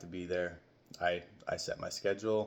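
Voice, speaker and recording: Fairly even in intonation, a man speaks at a very deep, low pitch. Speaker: cleaning business owner. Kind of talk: casual talk to camera. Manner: hesitant, stumbles over words.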